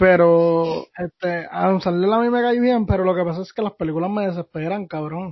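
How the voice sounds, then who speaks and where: A fairly quick, high-pitched male voice with ordinary pitch variation. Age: 20s. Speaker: podcast co-host. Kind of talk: casual chat.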